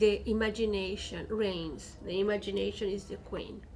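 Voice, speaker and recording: A woman with a Chilean Spanish accent speaks at a fairly high pitch in a somewhat breathy voice with fairly even intonation, and the room echo is audible. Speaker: poet and professor. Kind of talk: book talk.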